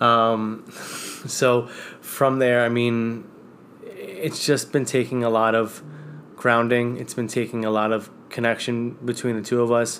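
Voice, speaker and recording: Noticeable background noise sits behind a man with an American accent. He speaks fairly slowly in a medium pitch, his intonation flat and monotone. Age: 30s. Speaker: host's husband. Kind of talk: casual chat.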